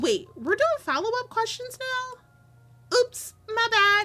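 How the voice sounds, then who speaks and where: Using a put-on character voice, a woman speaks squeaky and at an extremely high pitch, with lively intonation and a very slow pace, as faint music plays in the background. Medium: game stream. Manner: warm, eager.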